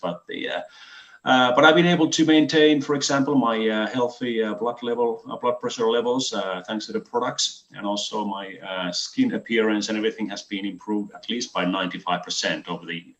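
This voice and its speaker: With a Finnish accent, a man talks with ordinary pitch variation against noticeable background noise. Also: hardly any pauses. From Finland. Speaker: health product distributor. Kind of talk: webinar presentation. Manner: halting, many fillers.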